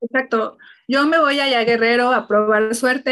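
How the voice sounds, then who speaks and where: Fairly high for a woman, this is an unremarkable speaking voice delivered at a fairly quick pace with fairly even intonation. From Mexico City. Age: 30s. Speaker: human resources executive and single mother. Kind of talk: casual interview chat.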